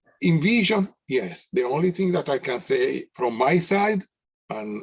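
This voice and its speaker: With a strong non-native accent, a man talks at a moderate pace while his pitch swings very widely. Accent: thick foreign. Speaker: technology company representative. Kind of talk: webinar panel discussion.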